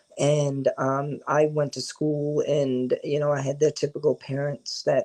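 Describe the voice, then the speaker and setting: The sound is dry and close, with no echo, as a man with a fairly high voice speaks in an American accent. His pace is fairly slow. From New York and New Jersey, US. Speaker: filmmaker. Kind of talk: interview. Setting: podcast recording.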